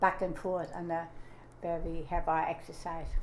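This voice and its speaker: Audible room echo surrounds a woman with a German accent whose pitch varies in an ordinary way. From Germany. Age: 90s. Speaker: grandmother interviewee. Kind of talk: oral history interview. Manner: halting.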